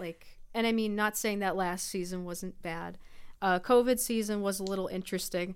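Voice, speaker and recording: A woman's medium-pitched voice, an unremarkable speaking voice, with an American accent, moderate pace and fairly even intonation. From US, western New York (East Aurora near Buffalo). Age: 20s. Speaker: college student athlete. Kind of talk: casual chat. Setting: radio studio.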